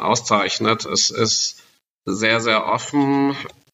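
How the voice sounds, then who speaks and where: This man talks at a very slow pace. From Germany, Sauerland (Westphalia). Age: 40s. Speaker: expat marketing manager. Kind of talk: casual interview. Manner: frequent fillers and repetitions.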